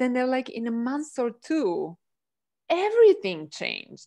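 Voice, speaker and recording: Against a quiet background, a woman with a high pitch talks at a moderate pace, her voice swinging very widely in pitch. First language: not English. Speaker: energy healing practitioner. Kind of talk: casual chat. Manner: animated.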